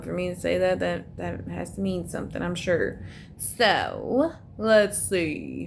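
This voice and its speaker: With an American accent, a woman speaks at a fairly slow pace, and audible room echo surrounds her voice. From US South. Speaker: tarot reader. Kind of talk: tarot reading monologue. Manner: casual, chatty with fillers.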